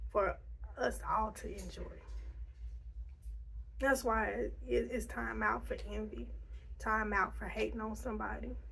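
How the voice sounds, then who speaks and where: Against noticeable background noise, a woman speaks with long, frequent pauses. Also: fairly slow pace. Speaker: ASMR creator. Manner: gentle, calming, not whispered.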